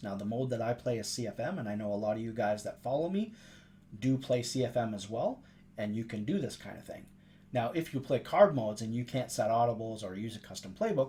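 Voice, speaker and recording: Very fast and somewhat breathy, a man speaks at a medium pitch with ordinary variation and a dark, mellow tone. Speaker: video game tips youtuber. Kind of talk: gameplay tutorial.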